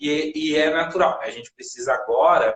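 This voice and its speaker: A man talks at a moderate pace. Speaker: ceramic artist, live stream host. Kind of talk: casual live stream conversation. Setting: Instagram live video. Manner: soft-spoken.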